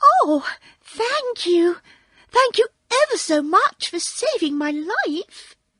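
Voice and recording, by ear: A woman puts on a squeaky character voice at an extremely high pitch. She speaks very slowly, her pitch swinging very widely.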